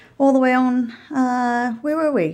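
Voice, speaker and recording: Recorded very cleanly against a silent background, a woman speaks at a high pitch. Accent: New Zealand. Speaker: enterprise design consultant. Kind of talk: casual interview conversation. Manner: hesitant, filler-heavy.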